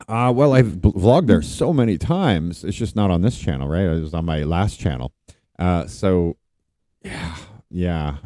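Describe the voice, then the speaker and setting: At a moderate pace, a man with a very deep, low pitch speaks with lively intonation. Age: 40s. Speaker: vlogger. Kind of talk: live stream chat. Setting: outdoors by the ocean at a beach resort. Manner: casual, rambling.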